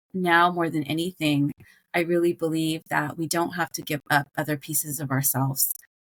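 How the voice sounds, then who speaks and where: This woman has an American accent and a fairly low pitch. She talks at a moderate pace. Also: dry, close sound with no echo. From Croatia, then US from age eight. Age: 40s. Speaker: life coach. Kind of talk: podcast interview. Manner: halting, many fillers.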